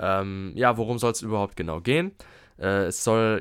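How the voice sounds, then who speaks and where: Heard against a silent background, the recording is very clean. The man's voice sits at a medium pitch, and he keeps a moderate pace. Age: 20s. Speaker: podcast host, health management student. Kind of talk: solo podcast monologue. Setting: alone in his room. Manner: halting, many fillers.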